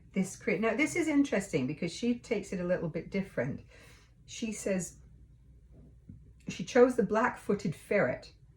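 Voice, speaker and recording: Her voice somewhat breathy, a woman speaks at a moderate pace with very wide pitch swings and long, frequent pauses. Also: medium pitch for a woman. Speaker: tarot reader, co-host. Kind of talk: casual chat.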